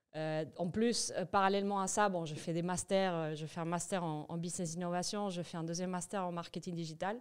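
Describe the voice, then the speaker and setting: The speech comes at a fairly quick pace with a Spanish accent. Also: woman, fairly low pitch for a woman, fairly even intonation, hardly any pauses. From Venezuela (Caracas). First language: Spanish (speaking French). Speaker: entrepreneur, massage business founder. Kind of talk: podcast interview. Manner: hesitant, many fillers and restarts.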